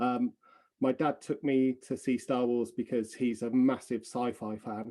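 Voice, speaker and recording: Medium-pitched male voice with a dark, mellow tone and an English accent. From England. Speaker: film extra and artist. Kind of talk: interview. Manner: halting, many fillers and repeats.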